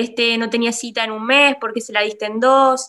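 Bright, sharp tone from a woman, with a very clean recording and a silent background. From Argentina, La Rioja. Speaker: doctor (urologist). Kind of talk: casual interview chat.

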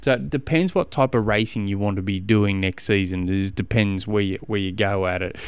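A man with an Australian accent speaks at a fairly quick pace with hardly any pauses, his pitch fairly low and its variation ordinary. The recording is very clean, with a silent background. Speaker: cycling coach podcast host. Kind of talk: casual solo podcast advice.

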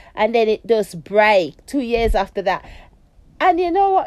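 A woman talks at a moderate pace with a fairly high pitch. Her tone is slightly mellow.

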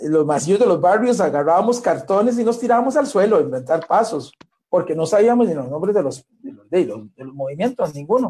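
Speaking at a fairly quick pace, a man with a dark, mellow tone shows very wide pitch swings and big swings in loudness. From Costa Rica, Limón. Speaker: breakdance pioneer. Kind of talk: interview.

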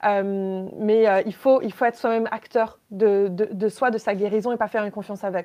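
A woman speaks at a moderate pace with hardly any pauses. Her intonation is monotone and flat. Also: fairly high pitch for a woman. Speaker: lithotherapist and entrepreneur. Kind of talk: casual interview, personal testimony. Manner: hesitant, many fillers.

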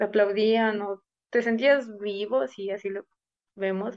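In a plain, everyday voice, a woman speaks at a fairly high pitch and fairly slow pace with fairly even intonation. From Mexico, Puebla state. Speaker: flutist. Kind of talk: interview.

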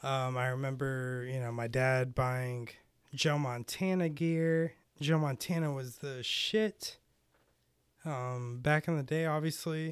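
In a very clean recording with a silent background, a man with an American accent speaks at a very slow pace and medium pitch with ordinary pitch variation. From US South, Carolina. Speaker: podcast host. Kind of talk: casual chat. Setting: home studio. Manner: casual, many filler words.

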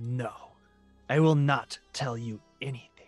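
Faint music plays in the background as a man in a put-on character voice speaks at a fairly slow pace, raspy and at a medium pitch. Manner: defiant, struggling.

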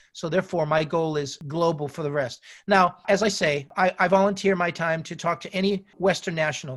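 Fairly quick, high-pitched male speech in an American accent, with fairly even intonation, hardly any pauses, and a very clean recording over a silent background. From United States. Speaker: wireless market specialist. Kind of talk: interview conversation. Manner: halting, repeats words.

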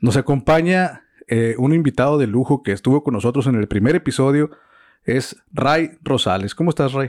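On a very clean recording with a silent background, a man in a normal speaking voice talks at a moderate pace and medium pitch with very even loudness. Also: ordinary pitch variation. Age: 40s. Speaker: podcast host. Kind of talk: casual chat. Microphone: equipment sometimes sounds bad.

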